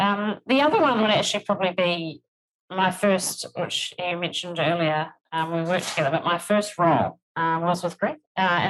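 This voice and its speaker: With a New Zealand accent, a woman talks at a moderate pace and medium pitch with ordinary pitch variation. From New Zealand, rural. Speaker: HR executive. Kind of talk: podcast interview.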